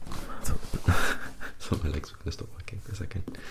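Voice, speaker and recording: Whispering and soft-spoken, the speaker keeps a moderate pace against noticeable background noise. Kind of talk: ASMR book reading and show-and-tell. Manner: soft-spoken, close whispering; repetitive, over-explaining, chaotic.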